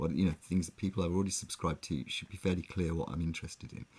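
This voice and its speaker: With an English accent, a man talks at a very fast pace in a very deep, low pitch with vocal fry, fairly even intonation and big swings in loudness. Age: 60s. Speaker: online music show co-host. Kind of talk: casual chat.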